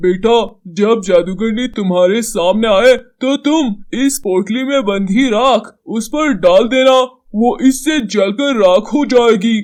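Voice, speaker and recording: A man puts on a cartoonish character voice with a high pitch. He delivers it at a fairly slow pace. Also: ordinary pitch variation. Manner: gentle, advising.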